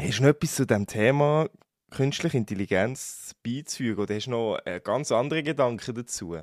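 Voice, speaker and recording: On a very clean recording with a silent background and a dry, close sound with no echo, a man talks at a fairly quick pace in a medium pitch. He has a plain, everyday voice with lively intonation. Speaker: podcast co-host. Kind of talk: casual chat.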